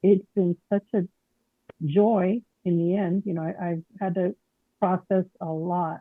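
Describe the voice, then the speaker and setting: The delivery is fairly slow, with long, frequent pauses and monotone, flat intonation. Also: woman, medium pitch for a woman. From Mexican heritage. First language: Spanish. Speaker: caller. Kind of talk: testimony. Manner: halting.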